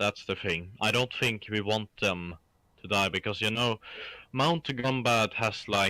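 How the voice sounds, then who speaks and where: In a Swedish accent, the speaker talks at a fairly slow pace with a bright, sharp tone, very even loudness and ordinary pitch variation, the sound dry and close with no echo. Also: man, fairly low pitch for a man. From Sweden. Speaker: gaming co-op partner. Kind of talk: casual chat.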